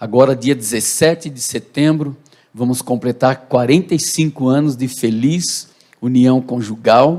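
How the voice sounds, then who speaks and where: A man with a plain, everyday voice speaks at a medium pitch. He talks at a fairly slow pace with ordinary pitch variation. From Brazil, Santo André (São Paulo). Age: 60s. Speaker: pastor. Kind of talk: testimony. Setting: church.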